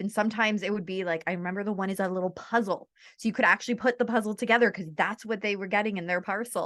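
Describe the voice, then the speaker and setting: Animated speech from a woman in a Canadian accent, medium-pitched, against a quiet background. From Ontario, Canada. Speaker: author and mental health advocate. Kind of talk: podcast interview. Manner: fast.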